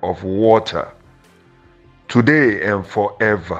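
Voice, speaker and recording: Music plays behind a man's voice. He speaks very slowly with ordinary pitch variation. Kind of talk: prayer declaration.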